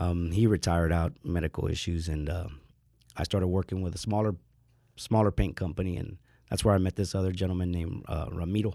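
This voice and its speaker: Very fast and very deep, a man with an American accent talks in a dark, mellow tone. The recording is very clean, with a silent background. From San Antonio, Texas (west side). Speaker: painting foreman. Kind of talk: interview.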